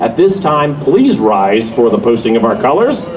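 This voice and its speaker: A man's voice carries audible room echo, with noticeable noise behind it. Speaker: master of ceremonies, army veteran. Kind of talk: ceremony emceeing. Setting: stage with audience.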